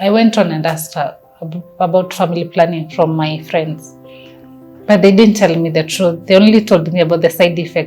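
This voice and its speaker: With a Kenyan accent, the speaker talks at a moderate pace with fairly even intonation. Music plays in the background. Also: woman, fairly low pitch for a woman. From Kenya (Nairobi). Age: young. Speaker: family planning advocate. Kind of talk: personal testimony.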